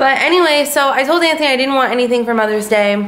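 In a room with audible echo, a woman talks fast at a high pitch, her tone fairly bright and her pitch varying in an ordinary way.

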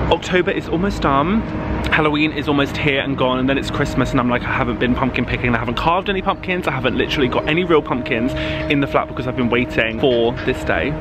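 A man speaks at a very fast pace over background music, the sound dry with no echo. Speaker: vlogger. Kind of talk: casual vlog chat. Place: street. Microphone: phone near.

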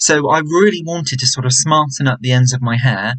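A man's fairly quick delivery with lively intonation over a quiet background. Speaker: vlogger. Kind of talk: casual vlog chat. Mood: disappointed, reflective. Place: home room. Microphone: webcam.

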